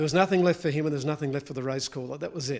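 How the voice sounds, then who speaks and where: A man talks at a fairly high pitch. Crowd noise can be heard behind him. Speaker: horse race caller and part-owner of a champion racehorse. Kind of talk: interview answer, reminiscing.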